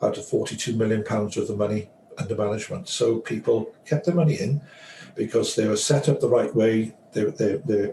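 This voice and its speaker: Noticeable background noise runs under the recording. A man talks at a moderate pace with an English accent. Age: 60s. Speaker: financial advisor. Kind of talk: interview.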